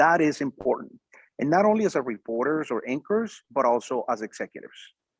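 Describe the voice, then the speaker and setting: A man with a Mexican accent is heard against a quiet background, the sound dry and close with no echo. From northern Mexico, raised in Arizona. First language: Spanish. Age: 40s. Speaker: media executive, former news anchor. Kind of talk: interview. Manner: halting, many fillers and repetitions.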